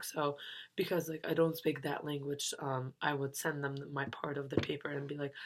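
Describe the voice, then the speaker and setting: A non-native accent on a very clean recording with a silent background. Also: woman. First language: not English. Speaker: university student. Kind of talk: class reflection monologue. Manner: hesitant, many fillers.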